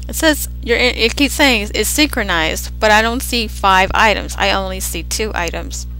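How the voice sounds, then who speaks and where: A woman at a moderate pace over music in the background. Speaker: Second Life breedables seller. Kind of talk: software tutorial. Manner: casual, rambling.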